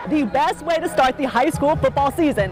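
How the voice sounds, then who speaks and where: Over noticeable background noise, a woman with a high pitch talks at a moderate pace. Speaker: sports reporter and anchor. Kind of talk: sports broadcast anchoring.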